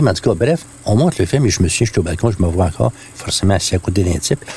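Heard over noticeable background noise, a man with a Quebec accent speaks in a fairly low pitch with lively intonation. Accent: Québécois French. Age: 60s. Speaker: songwriter. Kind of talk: personal storytelling. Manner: casual.

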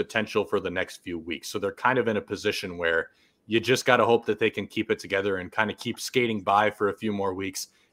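A man's unremarkable speaking voice, fairly low and fairly quick, with fairly even intonation, dry and close with no echo, on a very clean recording with a silent background. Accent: American. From Wisconsin, north of Milwaukee. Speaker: baseball beat writer and analyst. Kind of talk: podcast interview.

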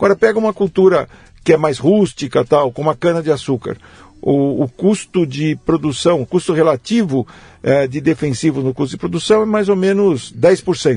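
The voice has a dark, mellow tone and lively intonation at a moderate pace. The sound is dry and close with no echo, over a quiet background. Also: man, fairly high pitch for a man. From Brazil, São Paulo state (Jundiaí area). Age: 70s. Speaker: agronomy professor. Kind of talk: interview conversation. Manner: halting, many repetitions.

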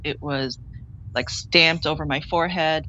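With a Canadian accent, a woman speaks in a very deep, low voice with vocal fry and ordinary pitch variation. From Toronto area, Canada (Scarborough). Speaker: filmmaker and actor. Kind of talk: interview. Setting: remote video interview.

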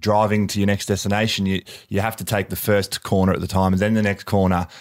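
In an Australian accent, a man talks at a fairly quick pace with a fairly low pitch and monotone, flat intonation, in a very clean recording with a silent background. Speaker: podcast host, former football player. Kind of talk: interview. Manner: halting, many fillers.

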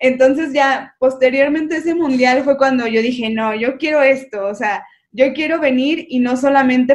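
A woman with a high pitch speaks at a moderate pace, her intonation fairly even. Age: 20s. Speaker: professional athlete. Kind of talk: interview.

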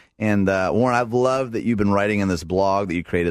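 Against a quiet background, a man with an ordinary speaking voice talks at a fairly low pitch with ordinary pitch variation. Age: 30s. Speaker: radio show host. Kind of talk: casual chat. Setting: studio.

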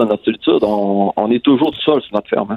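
His pitch sits in the middle range, and this man keeps his intonation fairly level. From Quebec, Lac-Saint-Jean. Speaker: former dairy farmer. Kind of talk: interview. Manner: halting.

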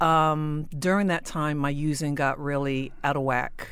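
In an American accent, a woman speaks with a very deep, low pitch and fairly even intonation, with audible room echo. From South Jersey, US. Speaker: person in addiction recovery. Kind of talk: personal testimony interview.

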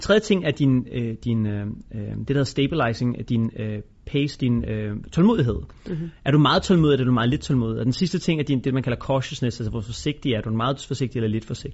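Speaking at a fairly quick pace, a man with a medium pitch sounds somewhat breathy and has lively intonation. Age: 30s. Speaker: entrepreneur and investor. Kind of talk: interview.

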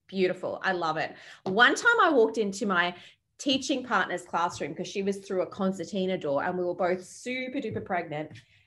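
A woman speaks at a medium pitch with an Australian accent. Her intonation is lively and her pace fairly quick. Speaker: podcast host. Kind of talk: casual chat.

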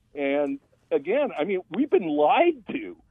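Speaking very slowly, a man lets his pitch swing very widely. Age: 60s. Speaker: radio caller. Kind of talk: call-in comment. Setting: phone call.

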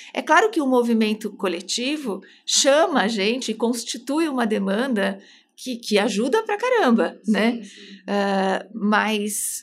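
Speaking at a fairly slow pace, a woman with an ordinary speaking voice has a fairly high pitch and ordinary pitch variation. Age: 40s. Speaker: psychoanalyst. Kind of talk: casual chat.

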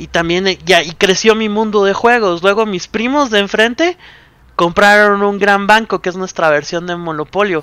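A man with a high-pitched voice speaks at a moderate pace, raising and projecting his voice. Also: ordinary pitch variation. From Guatemala. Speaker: board game company public relations. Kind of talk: casual interview.

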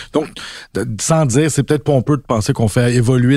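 A man with a Quebec accent, medium pitch, dark, mellow tone and ordinary pitch variation. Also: very clean recording, silent background. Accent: Québécois French. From Quebec, Basses-Laurentides. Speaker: novelist. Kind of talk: casual chat.

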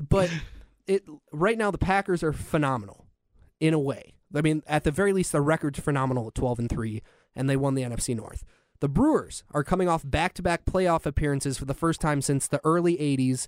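In an American accent, a man with a fairly high pitch uses an ordinary speaking voice and ordinary pitch variation, captured as a dry, close sound with no echo on a very clean recording with a silent background. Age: 20s. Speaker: radio producer co-hosting a sports podcast. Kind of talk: casual sports chat. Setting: studio.

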